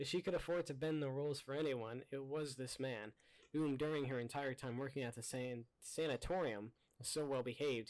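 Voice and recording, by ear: In a natural voice, a passage is read aloud.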